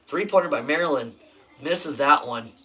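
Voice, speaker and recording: There is noticeable background noise. A man talks at a moderate pace with ordinary pitch variation. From Nebraska. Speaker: sports live streamer. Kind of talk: live game commentary. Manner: casual.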